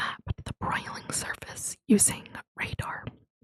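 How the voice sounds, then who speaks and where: A soothing whisper at a fairly slow pace. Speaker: ASMR content creator. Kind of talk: educational narration reading space facts. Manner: whispered, soothing.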